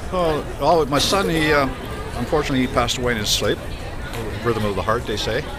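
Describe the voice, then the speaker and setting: A man is speaking. Loud background noise fills the clip. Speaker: automotive service technician. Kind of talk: interview answer. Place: street. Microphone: phone near.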